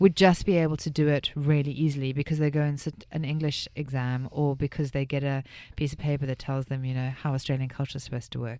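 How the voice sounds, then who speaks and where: A woman with a South African accent and a very deep, low voice, fairly quick, in a very clean recording with a silent background. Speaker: radio host. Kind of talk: radio interview.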